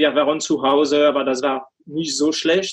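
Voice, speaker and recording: Speaking with a French accent, a man with a fairly high pitch delivers his words in a monotone, flat intonation. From France. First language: French (speaking German). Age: 40s. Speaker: coach and finance executive. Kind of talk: interview. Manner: halting, many fillers.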